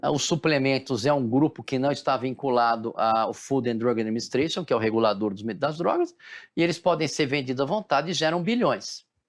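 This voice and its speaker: A man's plain, everyday voice, fairly high in pitch with ordinary variation, at a fairly quick pace over a quiet background. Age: 60s. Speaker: physician. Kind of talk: interview.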